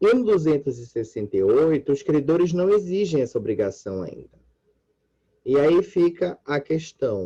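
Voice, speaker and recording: At a fairly slow pace, a man with a fairly high pitch and a dark, mellow tone makes very wide pitch swings. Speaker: law professor. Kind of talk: lecture.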